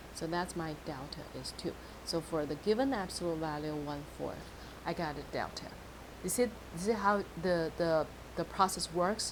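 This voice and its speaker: Audible room echo surrounds a woman speaking at a fairly low pitch. She keeps a moderate pace with ordinary pitch variation. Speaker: math teacher. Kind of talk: lecture.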